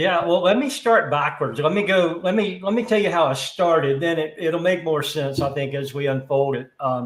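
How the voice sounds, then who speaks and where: A man with an American accent uses a normal speaking voice, fairly high in pitch with ordinary pitch variation. He keeps a moderate pace with hardly any pauses. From US South. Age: 60s. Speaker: HVAC industry executive. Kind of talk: interview. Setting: live stream.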